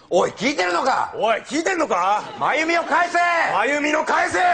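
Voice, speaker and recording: Very wide pitch swings run through this man's voice. He moves at a moderate pace. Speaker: comedian in a skit. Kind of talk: comedy sketch dialogue. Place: stage.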